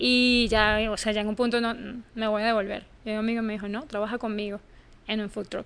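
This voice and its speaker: A woman talks at a fairly quick pace, her fairly high voice monotone and flat in intonation. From Venezuela. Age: 30s. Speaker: journalist. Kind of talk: interview.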